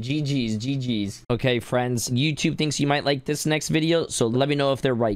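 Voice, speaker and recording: At a moderate pace and with hardly any pauses, a man speaks at very even loudness with ordinary pitch variation. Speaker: gaming YouTuber and streamer; gaming streamer. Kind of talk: casual gaming commentary. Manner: animated, joking. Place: home room. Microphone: studio mic.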